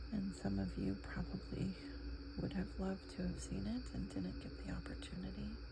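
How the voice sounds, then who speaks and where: A soft-spoken voice with an American accent moves at a moderate pace. Noticeable background noise sits behind it. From New England, USA. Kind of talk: ASMR soft-spoken chatter while crafting. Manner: soft-spoken, relaxing.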